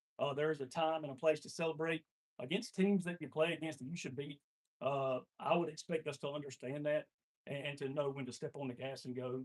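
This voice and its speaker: A man at a fairly quick pace, with fairly even intonation. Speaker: volleyball coach. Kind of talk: meeting speech. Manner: loud; halting, many fillers.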